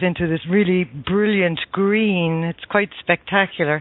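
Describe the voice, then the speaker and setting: A woman speaks in a strong Irish accent at a moderate pace. Her pitch is fairly low and her intonation is monotone and flat. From Ireland. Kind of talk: casual chat. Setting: radio show, sharing the host's headset.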